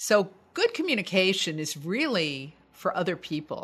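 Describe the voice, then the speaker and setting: A woman speaks with an American accent at a medium pitch. Her pitch swings very widely. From United States. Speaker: voice coach and broadcaster. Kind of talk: interview conversation.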